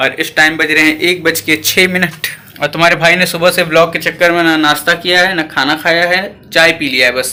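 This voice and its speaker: Over noticeable background noise, a man speaks in a high pitch with monotone, flat intonation. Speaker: vlogger. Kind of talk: casual vlog talk. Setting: at home.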